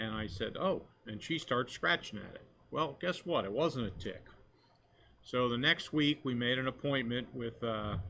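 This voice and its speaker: A man at medium pitch in an ordinary speaking voice, moderate pace, ordinary pitch variation. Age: 60s. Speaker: fishing captain, skin cancer survivor. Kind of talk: testimony.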